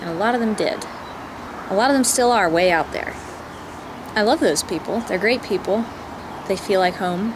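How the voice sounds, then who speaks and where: Using an American accent, a woman speaks at a moderate pace and a medium pitch with lively intonation. Long, frequent pauses break up her speech, and background noise is noticeable. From southeastern West Virginia. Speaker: vlogger. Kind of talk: personal vlog monologue.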